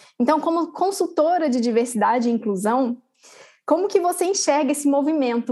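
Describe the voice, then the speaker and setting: Woman's dark, mellow voice at a moderate pace, very wide pitch swings and very even loudness. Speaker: podcast host. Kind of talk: interview conversation.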